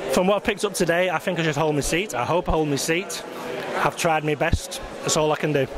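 A man talks at a very fast pace with a fairly high pitch, fairly even intonation and very even loudness. The sound is dry with no echo, with noticeable background noise. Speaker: local video reporter interviewing election candidates. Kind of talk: on-the-spot interviews at an election count. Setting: outdoors at polling station, then election count venue. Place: hall. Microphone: handheld.

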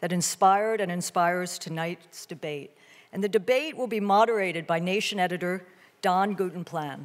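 Ordinary pitch variation marks a woman's speech at a moderate pace. Nothing much sounds behind her. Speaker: event host introducing a debate. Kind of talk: formal opening remarks. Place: hall. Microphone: podium.

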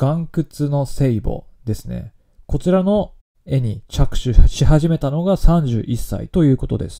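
Here a man with a dark, mellow tone and a fairly high pitch speaks fairly slowly, his intonation lively. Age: 30s. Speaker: podcast host. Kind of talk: solo podcast talk on news. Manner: casual with frequent fillers.

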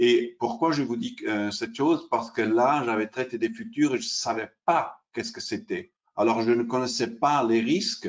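A man with an Italian accent at a moderate pace, against a quiet background. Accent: Italian-accented French, non-native. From Switzerland, Italian family. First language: Italian (speaking French). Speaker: derivatives exchange sales specialist; presenter. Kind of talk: webinar presentation. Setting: online webinar. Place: home room. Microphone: webcam.

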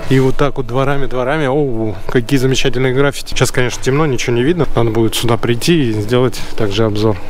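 Over light background noise, a man talks at a very fast pace with very even loudness and fairly even intonation. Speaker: vlogger guide. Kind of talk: casual vlog chat. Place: street. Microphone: phone near.

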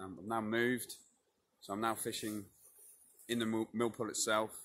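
A man talks at a moderate pace in a monotone, flat intonation. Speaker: angler vlogger. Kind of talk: casual vlog chat. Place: waterside. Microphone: phone near.

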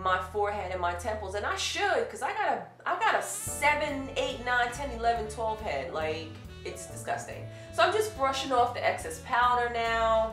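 The voice moves at a moderate pace, with audible room echo and clear music in the background. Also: woman. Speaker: beauty vlogger. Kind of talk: makeup tutorial. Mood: upbeat, chatty. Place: home room.

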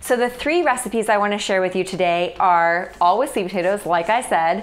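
Her pace fairly quick, a woman talks with ordinary pitch variation. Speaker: food blogger host. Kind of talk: cooking video intro. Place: kitchen. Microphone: lapel.

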